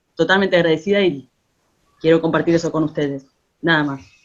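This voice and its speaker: The woman's intonation stays fairly even as she speaks. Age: 40s. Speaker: musician and theatre collaborator. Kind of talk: casual remarks in an online talk. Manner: halting.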